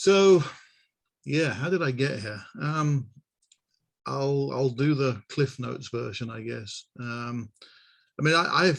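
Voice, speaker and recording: The speaker talks at a very slow pace in a British accent, with long, frequent pauses. Loudness swings widely, while pitch varies in an ordinary way. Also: man, medium pitch for a man. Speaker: asset management consultant. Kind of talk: interview. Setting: video call.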